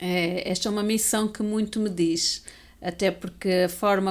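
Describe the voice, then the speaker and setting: A woman speaks with monotone, flat intonation. The recording is very clean, with a silent background. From Portugal. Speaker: educator and abuse survivor speaker. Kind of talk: interview testimony.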